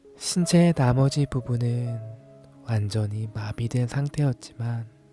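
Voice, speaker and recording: Music plays in the background as a man talks at a very slow pace, his medium pitch showing ordinary variation. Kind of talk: ASMR bedtime story reading. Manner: soft-spoken, slow.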